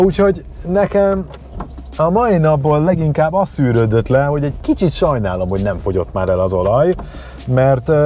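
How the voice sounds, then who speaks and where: A man talks with very wide pitch swings and long, frequent pauses. The sound is dry with no echo, over light background noise. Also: moderate pace. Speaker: car reviewer. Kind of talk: car review commentary. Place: car.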